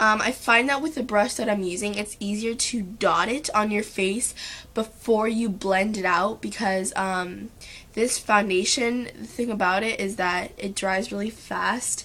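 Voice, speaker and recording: Bright and sharp in tone, a woman's fairly high voice moves at a fairly slow pace. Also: fairly even intonation. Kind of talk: makeup tutorial talk to camera.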